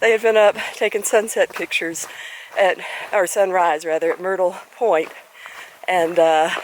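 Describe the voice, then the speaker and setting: Against noticeable background noise, a woman talks at a medium pitch and a moderate pace, with fairly even intonation and long, frequent pauses. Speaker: hiker vlogger. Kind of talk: outdoor vlog narration. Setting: outdoors on a mountain trail. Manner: loud to warn a bear.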